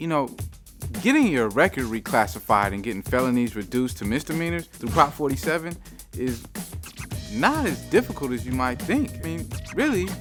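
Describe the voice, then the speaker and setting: Music plays behind a fairly quick pace broken by long, frequent pauses. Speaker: spoken word artist, host. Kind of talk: mock infomercial host talk to camera.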